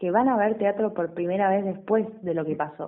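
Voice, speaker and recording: A woman talks at a medium pitch. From western Buenos Aires province, Argentina. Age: 30s. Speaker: stage actress and theatre teacher. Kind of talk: radio interview.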